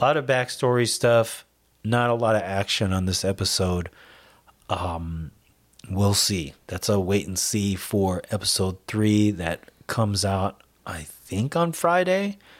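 Fairly slow and with ordinary pitch variation, an unremarkable speaking voice carries the words. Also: man, fairly low pitch for a man. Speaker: podcast host. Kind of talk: casual chat.

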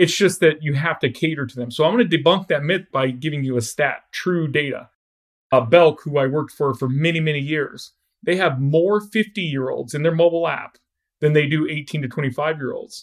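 An ordinary speaking voice from a man, fairly high in pitch, with ordinary pitch variation at a moderate pace. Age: 40s. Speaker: app developer and startup co-founder. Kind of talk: podcast interview.

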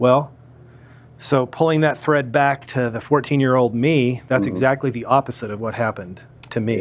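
In an American accent, a man speaks at a medium pitch with fairly even intonation. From US Midwest, Springfield, Missouri. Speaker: chocolate maker, former defense attorney. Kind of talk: interview conversation. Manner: halting.

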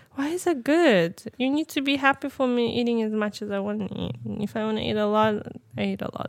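Fairly high-pitched and fairly quick, a woman talks in a normal speaking voice with lively intonation. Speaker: podcast co-host. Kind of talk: casual chat. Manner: laughs often.

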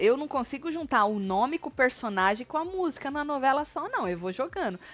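Her high-pitched voice swings very widely in pitch as this woman talks at a fairly quick pace. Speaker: gossip YouTuber. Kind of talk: casual chat; reading aloud. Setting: live stream.

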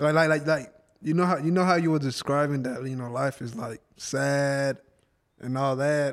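A man's fairly high voice at a moderate pace, a normal speaking voice with fairly even intonation. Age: 20s. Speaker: guest. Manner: talks over others, defensive, casual.

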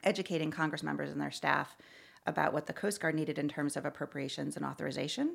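Very fast and marked by vocal fry, a woman talks in a very deep, low pitch with an American accent. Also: very clean recording, silent background. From Connecticut, near Hartford. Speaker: nonprofit executive. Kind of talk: interview.

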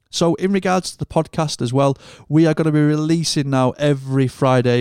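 A man with a British accent talks at a fairly quick pace. The recording is very clean with a silent background and a dry, close sound with no echo. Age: 30s. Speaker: podcast host and monitor engineer. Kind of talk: scripted show intro; casual interview chat.

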